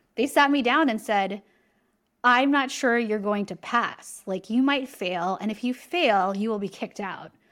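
A woman's animated voice with an American accent, fairly high in pitch, ordinary in pitch variation and fairly slow in pace. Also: very clean recording, silent background. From California. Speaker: executive coach and author. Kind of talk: interview.

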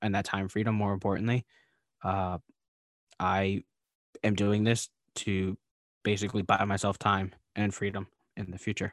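A man with an American accent, fairly low pitch, monotone flat intonation, moderate pace, long and frequent pauses, a quiet background, and a dry, close sound with no echo. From Philadelphia area, US. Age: 20s. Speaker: real estate investor, co-host. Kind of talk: casual interview.

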